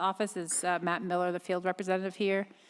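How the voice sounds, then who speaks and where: A woman with a Boston accent talks at a medium pitch. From Boston, US. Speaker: board chair at public hearing. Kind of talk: public hearing chairing. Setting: public hearing with live audience. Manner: fast.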